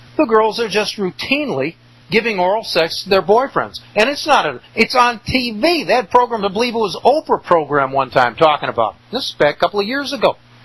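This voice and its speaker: Hardly pausing at all, a man speaks at a fairly quick pace in a high pitch with very wide pitch swings, amid noticeable background noise. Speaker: radio host. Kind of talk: angry rant. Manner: indignant, emphatic; sarcastic, scornful.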